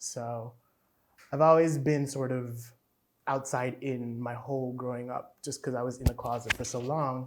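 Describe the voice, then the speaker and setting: A man speaks at a moderate pace in a medium pitch with monotone, flat intonation. Long pauses come often. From Haiti. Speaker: dancer. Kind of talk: interview.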